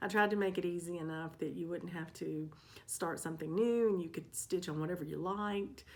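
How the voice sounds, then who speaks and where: A woman speaks at a fairly low pitch with ordinary pitch variation. Her pace is fairly quick, and room echo is audible. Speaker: cross stitch vlogger. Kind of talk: casual vlog update. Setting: home stitching room. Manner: soft-spoken. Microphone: new microphone.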